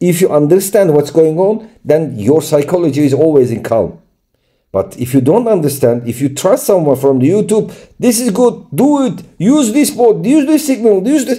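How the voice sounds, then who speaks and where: Against a quiet background, a man with a Turkish accent speaks at a moderate pace and high pitch, his tone dark and mellow and his pitch swinging very widely. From Turkey. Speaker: crypto trading YouTuber. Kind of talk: screen-share tutorial. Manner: halting.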